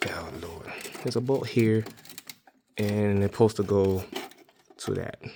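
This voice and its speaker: The quiet voice has fairly even intonation, big swings in loudness, and long, frequent pauses. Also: man, fairly low pitch for a man, moderate pace. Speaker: DIY car repair vlogger. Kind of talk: tutorial. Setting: outdoors in the cold. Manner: quiet, low voice; halting, many fillers.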